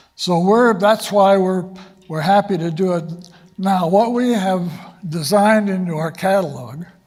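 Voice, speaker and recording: A man talks at a fairly slow pace in a high pitch, with ordinary pitch variation. Audible room echo surrounds his voice. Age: 80s+. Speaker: space education institute leader. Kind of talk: conference talk. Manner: halting, with many fillers.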